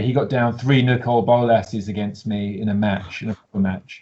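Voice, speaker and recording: With a British accent, a man talks at a fairly quick pace, somewhat breathy, with ordinary pitch variation. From UK. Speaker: deck builder competing in card game contest. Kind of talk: casual interview chat. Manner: halting, many fillers.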